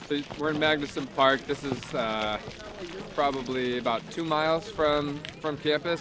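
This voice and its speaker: This man talks at a moderate pace, and the sound is dry with no echo. Noticeable background noise runs under his voice. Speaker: running coach. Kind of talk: interview answer. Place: open country.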